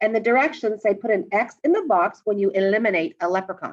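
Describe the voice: The speaker is reading aloud. It is plain reading aloud.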